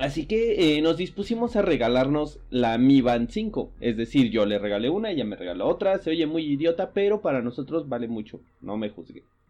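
A man's fairly high-pitched voice at a moderate pace, with very wide pitch swings. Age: 30s. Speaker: podcast host. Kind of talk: casual chat.

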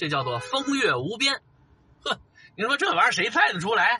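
A man in a Beijing accent uses a raised, projected voice at a fairly quick pace with very wide pitch swings. Noticeable background noise can be heard. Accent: Beijing Mandarin, erhua-heavy. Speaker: video blogger. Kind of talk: casual chat.

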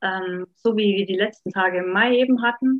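A woman at medium pitch and a fairly slow pace, with fairly even intonation, in a dry, close sound with no echo. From Upper Franconia, Bavaria. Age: 30s. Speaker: life coach. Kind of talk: personal testimony in podcast interview.

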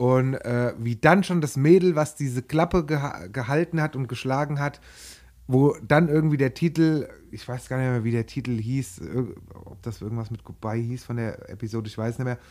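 On a very clean recording with a silent background, a man speaks at medium pitch and a moderate pace, with ordinary pitch variation and big swings in loudness. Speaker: podcast co-host, quiz contestant. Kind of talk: casual chat. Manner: animated.

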